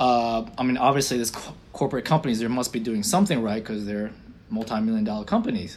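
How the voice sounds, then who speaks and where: With an unremarkable speaking voice, a man talks at medium pitch and ordinary pitch variation. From Florida, US (born in Israel). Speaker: optometrist and practice owner. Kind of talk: interview.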